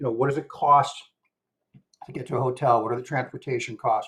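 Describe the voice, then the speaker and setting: With fairly even intonation, a man talks in a somewhat breathy voice at a medium pitch. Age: 60s. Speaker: traveler. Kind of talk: casual chat. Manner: halting.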